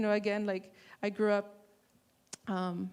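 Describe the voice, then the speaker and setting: In a Spanish accent, a woman speaks at medium pitch with a monotone, flat intonation on a very clean recording with a silent background. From Texas, Rio Grande Valley. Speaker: artist and printmaking professor. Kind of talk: panel discussion.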